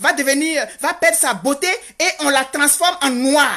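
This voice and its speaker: Raised and projected, a woman's bright, sharp voice moves at a fairly slow pace with ordinary pitch variation. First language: Godié (speaking French). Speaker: activist vlogger. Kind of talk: impassioned monologue. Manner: animated; halting with repetitions.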